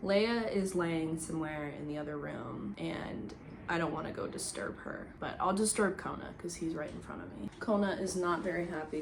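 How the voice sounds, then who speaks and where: Speaking at a moderate pace with lively intonation and hardly any pauses, a woman with an American accent is heard over noticeable background noise and audible room echo. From US Midwest (Indiana and Chicago). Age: 20s. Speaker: singer-songwriter and YouTuber. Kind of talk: casual Q&A vlog. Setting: home, talking to camera.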